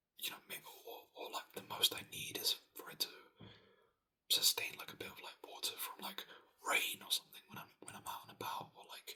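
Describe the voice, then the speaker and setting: Whispering at a moderate pace, a man lets his loudness swing widely. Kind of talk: ASMR whispered ramble about a hobby; casual talk to camera. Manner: casual, conversational, rambling with filler words.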